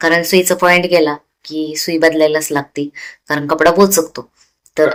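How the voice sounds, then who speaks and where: This woman has a very deep, low pitch. Her intonation is monotone and flat. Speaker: tailoring YouTuber. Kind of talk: tutorial. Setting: home sewing room at night. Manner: casual, conversational.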